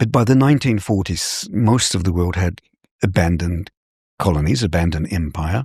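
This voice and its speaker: A man speaks with a very deep, low pitch and lively intonation at a moderate pace, sounding somewhat breathy. The sound is dry and close with no echo. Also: very clean recording, silent background. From New Zealand. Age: 60s. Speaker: military strategist. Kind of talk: interview. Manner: halting.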